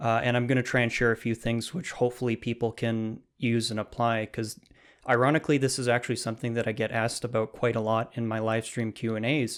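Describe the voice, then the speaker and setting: A man talks at a very fast pace in a medium pitch, his intonation monotone and flat. The recording is very clean, with a silent background. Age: 20s. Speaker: self-taught programmer and YouTube teacher. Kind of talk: interview.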